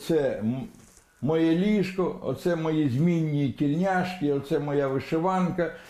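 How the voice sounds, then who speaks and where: A man's fairly high voice, dark and mellow in tone, at a very slow pace, with ordinary pitch variation and very even loudness. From Kherson, southern Ukraine. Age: 70s. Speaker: aid collector for the army. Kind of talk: TV news interview answer.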